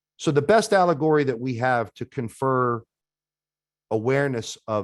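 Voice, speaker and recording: Against a quiet background, a man with a medium pitch speaks at a moderate pace with lively intonation. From New York metropolitan area. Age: 50s. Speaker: de-escalation trainer. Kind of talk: webinar presentation.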